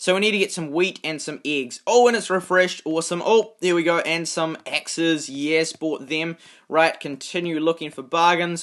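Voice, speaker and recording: A man talks in a fairly high pitch with ordinary pitch variation. The background is quiet. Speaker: gaming youtuber. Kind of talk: gameplay commentary. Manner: fast.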